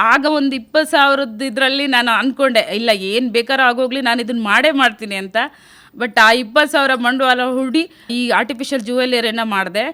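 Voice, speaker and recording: A woman speaks in a high, bright, sharp tone with fairly even intonation. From India, Uttara Kannada district (Honnavar). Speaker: self-help group entrepreneur. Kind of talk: radio interview testimony.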